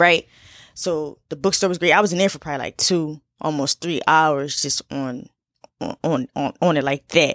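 Animated and very deep, a woman's voice moves at a moderate pace with ordinary pitch variation. The recording is very clean, with a silent background and a dry, close sound with no echo. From Philadelphia. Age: 20s. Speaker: podcast host. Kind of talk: casual solo monologue.

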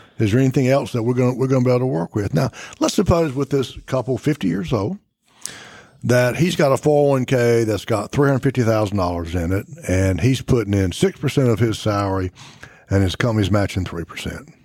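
Speaking at a very fast pace, a man with an American accent uses lively intonation in a medium pitch with a dark, mellow tone. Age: 60s. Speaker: financial advisor, radio show co-host. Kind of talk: radio talk show on finance. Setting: studio.

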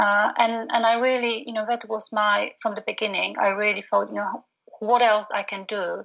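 Speaking in a flat monotone at a moderate pace, a woman with a Polish accent has a fairly high pitch. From Poland. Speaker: postnatal doula and business coach. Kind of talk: casual interview chat. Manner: halting, frequent fillers.

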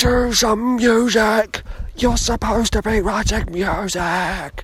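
The speaker whispers at a fairly slow pace, using a put-on character voice. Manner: shouted whisper.

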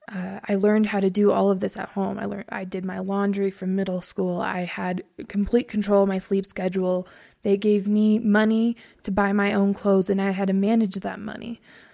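Speaking fairly quickly, a woman has a medium pitch and a dark, mellow tone, her intonation monotone and flat. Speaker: college student. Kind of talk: casual interview. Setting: studio.

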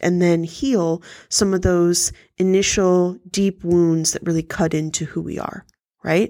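Her tone dark and mellow, a woman speaks at a fairly slow pace with a fairly low pitch and fairly even intonation in a very clean recording with a silent background. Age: 30s. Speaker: self-help podcast host. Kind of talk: solo monologue. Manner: frequent filler words.

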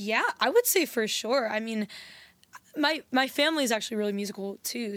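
In an American accent, a woman with an unremarkable speaking voice talks at a fairly quick pace on a very clean recording with a silent background. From US Virgin Islands. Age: young. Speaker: singer-songwriter. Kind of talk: casual chat.

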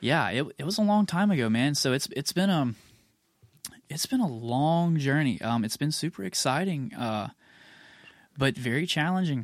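Speaking at a moderate pace with long, frequent pauses, a man with a fairly high pitch makes very wide pitch swings. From US South, Mississippi (near Tupelo). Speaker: rock band vocalist. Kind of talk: casual chat. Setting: studio.

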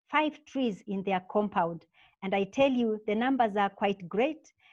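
Speaking at a moderate pace with a Kenyan accent, a woman with a fairly high voice shows ordinary variation in pitch. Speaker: UN representative for a women's organization. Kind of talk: interview.

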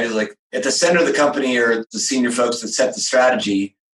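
A man is speaking at a fairly quick pace. His pitch sits in the medium range. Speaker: podcast host. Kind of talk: interview conversation. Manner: upbeat, enthusiastic.

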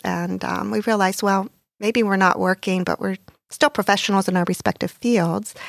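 An unremarkable speaking voice from a woman with an American accent, medium pitch and moderate pace, in a very clean recording with a silent background and a dry, close sound with no echo. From US, Pittsburgh, Pennsylvania. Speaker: nonprofit president. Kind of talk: podcast interview, testimony.

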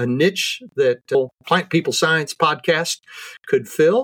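Fairly slow and fairly high in pitch, a man uses an ordinary speaking voice in a dry, close sound with no echo. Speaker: horticulture professor. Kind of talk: casual interview.

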